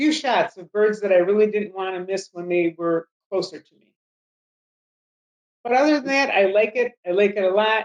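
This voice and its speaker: A woman at medium pitch speaks at a moderate pace with ordinary pitch variation, big swings in loudness, and long, frequent pauses. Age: 60s. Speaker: wildlife photographer. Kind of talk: interview. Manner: hesitant, with many fillers.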